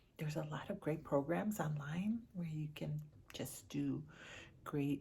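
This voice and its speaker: A woman with a very deep, low pitch, vocal fry and an animated tone, talking at a fairly slow pace with a Chicago accent. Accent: Chicago American. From US Midwest, Chicago inner city. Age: 60s. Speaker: lifestyle vlogger. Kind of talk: casual vlog talk to camera. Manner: chatty, animated.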